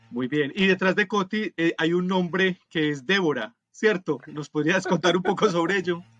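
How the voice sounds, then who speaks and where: A man with a Colombian accent talks in a high voice at a moderate pace, with ordinary pitch variation and hardly any pauses, recorded dry and close with no echo. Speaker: podcast co-host. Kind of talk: casual podcast chat.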